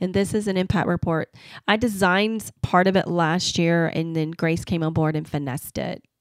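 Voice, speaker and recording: The sound is dry and close with no echo as a woman with a Southern US accent speaks at a fairly low pitch. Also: fairly even intonation, moderate pace. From US South. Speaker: marketing agency owner. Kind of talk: podcast interview.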